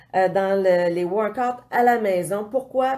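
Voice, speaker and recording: A woman speaks in a Quebec accent with a dark, mellow tone. Her pitch varies in an ordinary way. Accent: Québécois French. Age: 40s. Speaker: fitness coach. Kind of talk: casual vlog talk. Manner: hesitant, many fillers.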